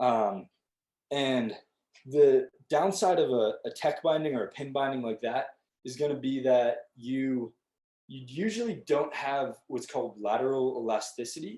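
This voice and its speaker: Speaking at a fairly slow pace, a man has a dark, mellow tone at a medium pitch with ordinary pitch variation. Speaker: outdoor education instructor. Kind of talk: online tutorial.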